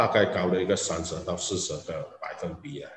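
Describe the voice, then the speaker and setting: A man speaks with a very deep, low pitch. Noticeable background noise and audible room echo fill the recording. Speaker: business executive. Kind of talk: interview. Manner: halting.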